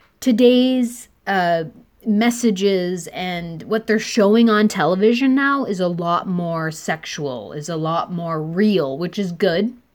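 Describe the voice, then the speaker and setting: On a very clean recording with a silent background, a woman talks at a medium pitch. Her pace is very slow, her intonation lively. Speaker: podcast host. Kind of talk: casual interview chat.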